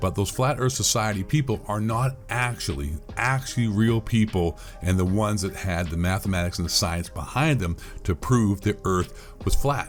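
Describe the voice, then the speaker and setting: Over music in the background, a man with a fairly low pitch speaks in an animated tone. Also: lively intonation. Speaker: conspiracy commentator. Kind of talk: casual monologue rant. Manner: fast.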